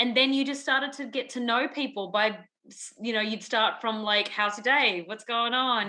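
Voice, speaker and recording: A fairly high-pitched woman's voice in an Australian accent, with hardly any pauses. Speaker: musical theatre performer. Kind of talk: casual chat.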